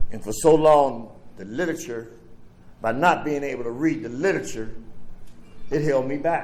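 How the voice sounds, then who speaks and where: Against audible room echo, a man with an American accent and a fairly high pitch talks at a moderate pace with ordinary pitch variation, big swings in loudness and long, frequent pauses. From Pittsburgh, Pennsylvania (the Hill District). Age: 70s. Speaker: recovery speaker. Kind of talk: recovery share / speech. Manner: casual, streetwise.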